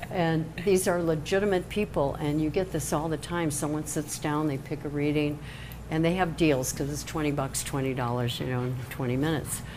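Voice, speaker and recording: In an American accent, a woman talks at a fairly quick pace with a very deep, low pitch and ordinary pitch variation, amid noticeable background noise and audible room echo. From Chicago, US Midwest. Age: 70s. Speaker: tarot card reader. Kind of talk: casual interview. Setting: live-streamed show in a salon.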